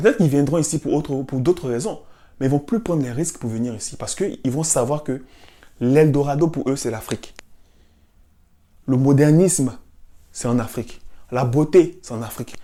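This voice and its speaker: An animated tone at a moderate pace, broken by long, frequent pauses. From Africa. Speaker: cultural commentator. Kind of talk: monologue.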